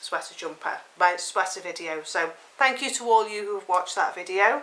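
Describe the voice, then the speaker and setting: Speech at a moderate pace with ordinary pitch variation comes through over noticeable background noise. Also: woman. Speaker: knitting podcaster. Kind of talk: casual chat.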